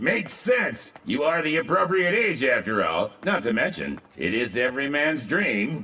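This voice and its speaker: A man uses a put-on character voice with a fairly high pitch. He keeps a moderate pace with hardly any pauses. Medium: fan dub. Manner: formal, calls master "my king".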